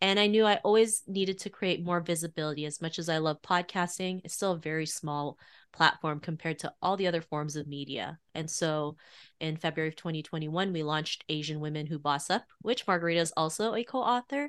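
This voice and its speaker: A woman with a Canadian accent speaks fairly quickly in a normal speaking voice, pitched fairly low. Her pitch varies in an ordinary way, and the background is quiet. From Canada, Toronto. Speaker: author and podcast host. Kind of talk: interview.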